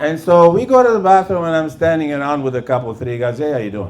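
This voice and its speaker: A man talks at a fairly quick pace with lively intonation. The recording carries audible room echo and noticeable background noise. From Lebanon. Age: 60s. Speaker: comedian. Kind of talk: stand-up. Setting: stage with audience. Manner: halting.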